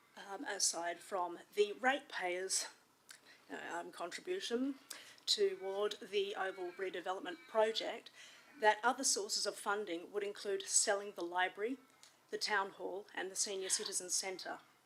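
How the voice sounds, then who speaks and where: Moderately paced speech from a woman with an Australian accent, medium in pitch, with ordinary pitch variation. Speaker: resident asking questions. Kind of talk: public question. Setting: council meeting hall with audience.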